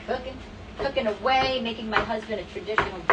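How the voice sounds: A woman at a fairly quick pace, fairly high in pitch, with a fairly bright tone, ordinary pitch variation and faint background noise.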